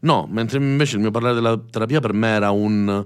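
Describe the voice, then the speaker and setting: Fairly low in pitch, a man talks in an unremarkable speaking voice with ordinary pitch variation. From Sicily (Messina). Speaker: youtuber, streamer and musician. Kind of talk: casual interview chat.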